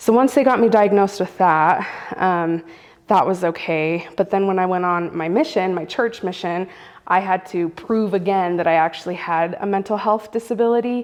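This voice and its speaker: This woman has a normal speaking voice at medium pitch, using ordinary pitch variation and a moderate pace. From US, Central American family. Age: 30s. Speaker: storyteller sharing lived experience. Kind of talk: personal testimony interview. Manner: casual, frequent fillers.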